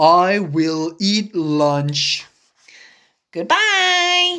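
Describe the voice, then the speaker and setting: A female-sounding voice at medium pitch performs a put-on character voice. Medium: read story. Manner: eager, bouncy.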